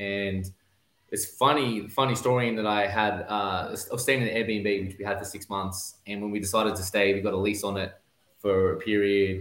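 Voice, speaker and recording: A man's fairly low pitch at a moderate pace. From Australia. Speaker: real estate investor. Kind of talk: casual interview chat.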